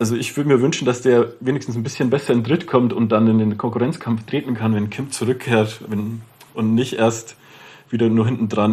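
In a strong Lower Bavarian accent, a man talks at a moderate pace. His intonation is fairly even. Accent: Lower Bavarian dialect, strong, rolled R. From Lower Bavaria, Germany. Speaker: TV sports journalist. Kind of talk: casual chat.

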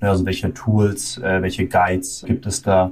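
A man's somewhat breathy, fairly low-pitched voice at a fairly slow pace. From Germany. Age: 20s. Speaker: management consultant. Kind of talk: interview.

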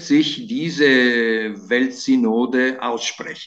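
Very slowly, a man speaks with very wide pitch swings. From Italy and Germany, bilingual. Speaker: journalist. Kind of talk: interview. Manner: hesitant, many fillers.

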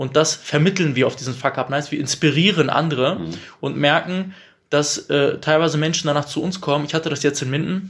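A man with a fairly high pitch talks at a fairly quick pace in a somewhat breathy voice. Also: fairly even intonation. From Bielefeld, Germany. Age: 30s. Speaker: entrepreneur. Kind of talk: casual interview. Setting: coworking space.

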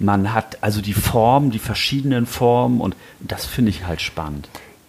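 Man with a fairly low pitch and ordinary pitch variation. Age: 60s. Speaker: knife maker. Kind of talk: casual chat. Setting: workshop. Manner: halting.

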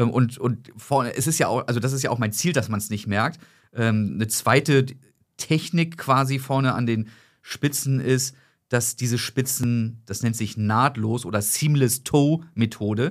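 In a very clean recording with a silent background, a man with a normal speaking voice speaks at a fairly slow pace and medium pitch with ordinary pitch variation. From northern Germany, Hamburg. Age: 30s. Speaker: sock company founder. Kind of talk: casual chat.

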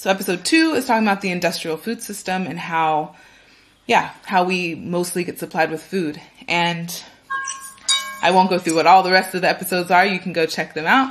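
Music plays in the background as a woman with an American accent speaks at a fairly quick pace, her medium pitch showing ordinary pitch variation. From California, US. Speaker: food and agriculture event organizer, podcaster. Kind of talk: interview.

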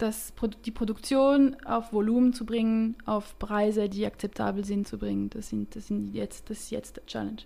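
Big swings in loudness from a woman speaking at a moderate speed. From French-speaking Switzerland. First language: French (speaking German). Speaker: startup founder, chemical engineer. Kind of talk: interview. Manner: hesitant, many fillers.

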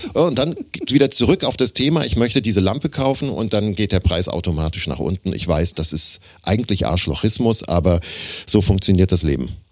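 This man has a fairly low pitch and very wide pitch swings. He talks at a fairly quick pace. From Germany, Offenbach (Hesse). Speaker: voice actor and speech coach. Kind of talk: casual interview chat. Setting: studio. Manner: animated.

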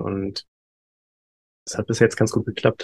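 Against a quiet background, a man speaks in a fairly low voice. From Germany, Hamburg. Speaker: human design coach. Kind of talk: interview. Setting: video call.

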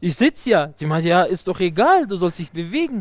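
The voice belongs to a man with a high pitch. The recording is very clean, with a silent background. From Afghanistan. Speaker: wholesale trader. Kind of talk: interview. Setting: outdoors. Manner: halting.

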